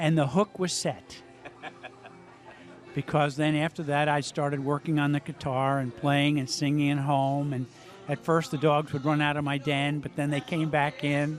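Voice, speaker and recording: Monotone, flat intonation from a man at a fairly high pitch and moderate pace, with music in the background. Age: 60s. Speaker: amateur musician. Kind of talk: interview. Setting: live music venue.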